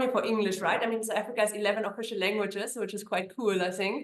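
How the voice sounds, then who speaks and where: Talking very fast in a German accent, a woman keeps a fairly high pitch with monotone, flat intonation. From Germany. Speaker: immigration attorney. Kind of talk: interview.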